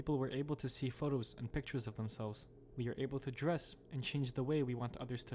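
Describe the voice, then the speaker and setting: Speaking at a very fast pace, a man keeps his intonation fairly even. His voice sits at medium pitch. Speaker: horror commentary YouTuber. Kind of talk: horror video game commentary narration.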